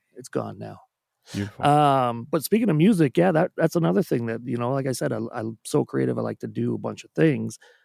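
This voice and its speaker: Here a man talks at a fairly quick pace. The sound is dry and close, with no echo. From Trinidad. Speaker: musician and D&D podcaster. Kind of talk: casual chat. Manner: laughs often, casual.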